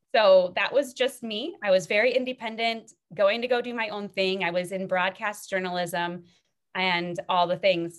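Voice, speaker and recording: This woman has an unremarkable speaking voice with a medium pitch. She talks at a moderate pace with ordinary pitch variation. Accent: American. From Minnesota. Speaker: faith-based author and coach. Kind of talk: casual interview chat.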